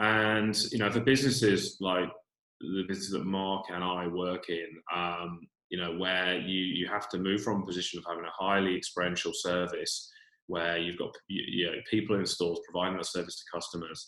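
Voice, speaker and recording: A man with a British accent speaks at a moderate pace, his very deep, low voice bright and sharp in tone with fairly even intonation. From UK. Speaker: retail e-commerce executive. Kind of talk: webinar panel talk. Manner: hesitant, many fillers.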